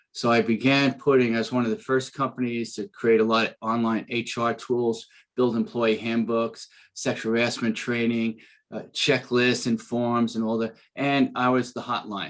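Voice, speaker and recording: A man with a Bronx accent, monotone and flat, over a quiet background. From New York City, the Bronx. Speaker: business coach and speaker, former trial attorney. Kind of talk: podcast interview.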